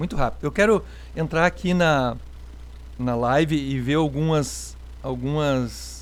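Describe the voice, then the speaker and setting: A man talks at a fairly slow pace. He takes long, frequent pauses. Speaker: pastor. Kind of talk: live-stream chat with viewers. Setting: online live stream.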